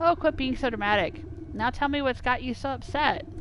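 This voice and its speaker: Against clear background noise, a woman puts on a character voice, high-pitched and fairly quick. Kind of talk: melodramatic game voice-acting. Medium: game stream. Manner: dramatic, wailing.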